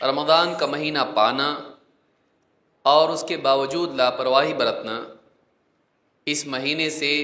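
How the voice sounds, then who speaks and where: The man's pitch sits fairly high. His tone comes across bright and sharp. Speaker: Islamic preacher giving a Ramadan lecture. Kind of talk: Islamic sermon (bayan) delivered to an audience.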